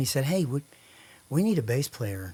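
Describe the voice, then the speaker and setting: A man with a Texan accent, fairly high in pitch, with a dark, mellow tone. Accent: Texan Southern US. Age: 60s. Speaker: songwriter. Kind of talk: casual chat.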